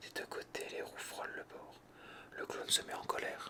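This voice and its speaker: Someone whispers in a calm tone at a fairly slow pace over noticeable background noise. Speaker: ASMR creator. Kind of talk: bedtime story reading. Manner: whispered; calm, relaxing.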